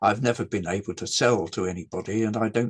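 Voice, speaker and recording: A man's medium-pitched voice in an English accent, at a fairly quick pace with ordinary pitch variation. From England. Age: 80s+. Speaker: game designer. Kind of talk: interview. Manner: halting.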